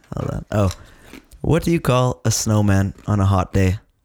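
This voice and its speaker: A man speaks at a moderate pace in a fairly low voice with a dark, mellow tone. His pitch swings very widely, and the sound is dry and close with no echo. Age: 20s. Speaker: podcast co-host. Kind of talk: casual chat.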